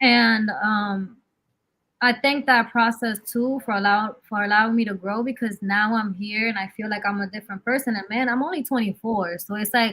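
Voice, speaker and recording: With an unremarkable speaking voice, a woman talks at a moderate pace in a fairly high pitch and fairly even intonation. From New York, Dominican-American. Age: 20s. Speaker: actress and musician. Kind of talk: casual interview chat.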